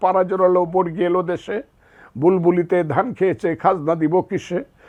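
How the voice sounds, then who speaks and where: This man speaks with a high pitch. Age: 70s. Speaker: war veteran and lawyer. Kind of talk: interview. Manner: impassioned, oratorical.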